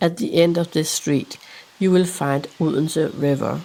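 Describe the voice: A woman speaks low in pitch at a fairly slow pace. Her tone is dark and mellow, and her intonation fairly even.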